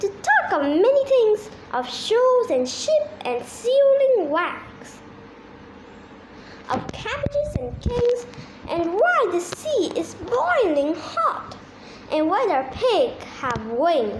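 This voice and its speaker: A woman uses a put-on character voice at an extremely high pitch with very wide pitch swings. She speaks at a very slow pace over clear background noise. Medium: read story.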